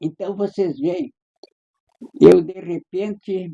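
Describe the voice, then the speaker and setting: The man's tone is dark and mellow. He talks very slowly. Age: 90s. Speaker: writer and poet. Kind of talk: interview conversation. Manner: halting.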